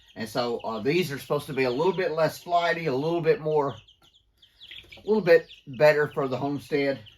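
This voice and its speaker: A man speaks at a fairly high pitch with a Southern US accent. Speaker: homesteader. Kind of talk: casual vlog narration. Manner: casual with fillers.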